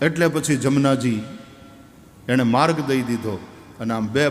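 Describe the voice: A man speaks with ordinary pitch variation while noticeable background noise goes on.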